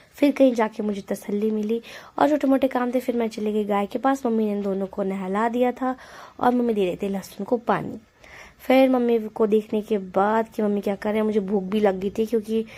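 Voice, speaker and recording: A woman's fairly high voice, dark and mellow in tone, with fairly even intonation at a moderate pace. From Himachal Pradesh, India. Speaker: vlogger. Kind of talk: vlog narration.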